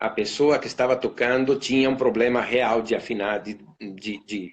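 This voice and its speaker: A man with an Italian accent talks at a moderate pace in a medium-pitched voice. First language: Italian (speaking Portuguese). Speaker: violinist and orchestra concertmaster. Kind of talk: casual interview on a live stream. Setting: Instagram live video call. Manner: halting, many fillers and repetitions.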